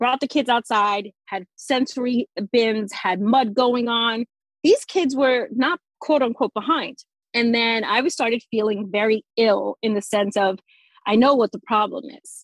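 A woman with a fairly high pitch speaks at a fairly slow pace with ordinary pitch variation. Her loudness swings widely, in a dry, close sound with no echo. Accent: New Jersey. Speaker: sensory play educator, former teacher. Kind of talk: casual interview chat.

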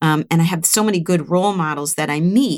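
A woman's unremarkable speaking voice, fairly low in pitch with lively intonation, at a moderate pace in a dry, close sound with no echo. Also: very clean recording, silent background. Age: 60s. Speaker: recruiter, business owner. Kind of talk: interview.

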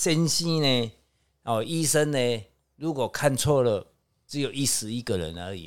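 Very wide pitch swings come at a fairly slow pace on a very clean recording with a silent background. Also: man, medium pitch for a man. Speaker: feng shui consultant. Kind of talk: casual chat. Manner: filler-heavy, drawn-out particles.

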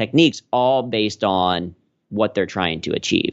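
This man has an American accent and an ordinary speaking voice. His pitch is fairly low, and he talks at a moderate pace. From US Midwest, Cincinnati, Ohio. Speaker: corporate humor trainer and stand-up comedian. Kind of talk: interview.

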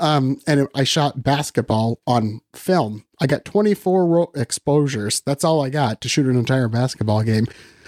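In a US Midwestern accent, the speaker keeps a moderate pace with hardly any pauses and ordinary pitch variation, in a very clean, dry, close recording with no echo and a silent background. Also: man, medium pitch for a man. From Western Iowa, US Midwest. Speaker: photographer and educator. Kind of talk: interview.

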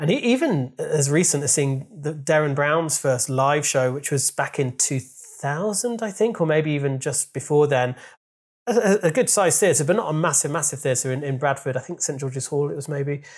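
A man talks at a moderate pace in a fairly high, somewhat breathy voice with ordinary pitch variation. The recording is very clean, with a silent background. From Yorkshire, England (Leeds). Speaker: comedian and writer. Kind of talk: casual chat. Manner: halting.

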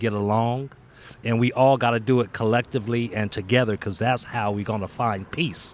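A man talks at a fairly quick pace in a medium-pitched voice, his intonation fairly even. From Altadena, California, US. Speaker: community peacemaker, non-profit co-founder. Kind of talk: interview conversation. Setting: outdoors in a park.

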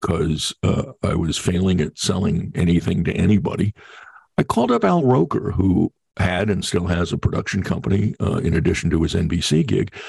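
Very deep and low in pitch, a man speaks at a moderate pace with lively intonation and very even loudness, his somewhat breathy voice dry and close with no echo. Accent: American. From New York, Long Island. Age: 60s. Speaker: TV producer and voiceover artist. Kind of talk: interview.

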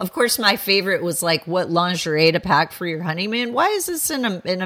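With lively intonation, a woman speaks at a medium pitch in a plain, everyday voice. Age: 50s. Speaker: historian and author. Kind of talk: interview.

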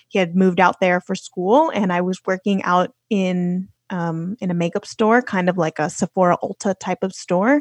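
Here a woman talks with a Californian accent at a medium pitch. She keeps a moderate pace, and the background is quiet. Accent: general American, Californian. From Los Angeles, California. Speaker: podcaster and traveler. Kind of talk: casual conversational interview.

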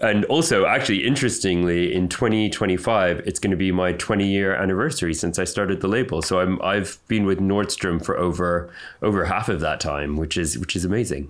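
With a very deep, low pitch, a man speaks fairly quickly with hardly any pauses. His loudness stays very even, and his pitch varies in an ordinary way. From Canada, then UK. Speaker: fashion designer. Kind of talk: interview.

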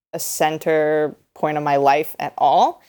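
A woman talks very slowly. The background is silent, and the recording is very clean. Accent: American. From US Midwest, Springfield, Missouri. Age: 20s. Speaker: newspaper opinion editor. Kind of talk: podcast interview. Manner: hesitant with frequent fillers.

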